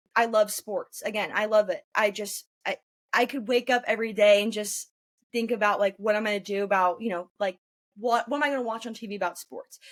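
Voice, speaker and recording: The woman speaks fairly quickly with fairly even intonation, in dry, close sound with no echo. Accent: American. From northern California, Roseville. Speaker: journalism student. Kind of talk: interview. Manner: fast; loud.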